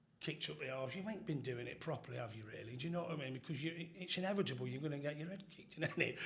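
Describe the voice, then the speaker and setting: Talking very fast with lively intonation, a man with a fairly high pitch is heard with audible room echo. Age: 50s. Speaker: former football firm member. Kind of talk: casual chat.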